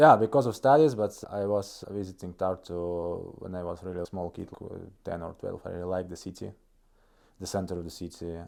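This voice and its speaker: Fairly quick speech from a man with a Russian accent, very deep and low in pitch, with a dark, mellow tone and ordinary pitch variation, in a very clean recording with a silent background. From northeast Estonia, Russian-speaking region. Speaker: startup COO. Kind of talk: interview podcast. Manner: halting, frequent repetitions.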